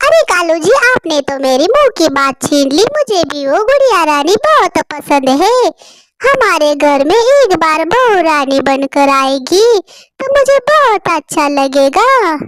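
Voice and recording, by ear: A cartoonish character voice, female-sounding and extremely high, moves at a fairly slow pace with hardly any pauses and very wide pitch swings.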